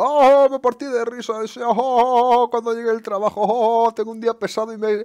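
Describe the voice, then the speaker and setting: A man in a put-on character voice at an extremely high pitch and moderate pace. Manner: mocking, exaggerated.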